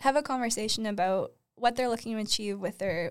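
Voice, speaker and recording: A plain, everyday voice from a woman with a Canadian accent, fairly high pitch, moderate pace and fairly even intonation, on a very clean recording with a silent background. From Ontario, Canada (Uxbridge, small town). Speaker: freelance stylist and set designer. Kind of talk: casual interview chat.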